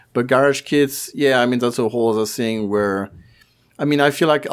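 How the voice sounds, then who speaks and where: The recording is very clean with a silent background. It carries an unremarkable speaking voice with fairly even intonation. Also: man. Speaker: podcast panelist. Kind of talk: casual chat.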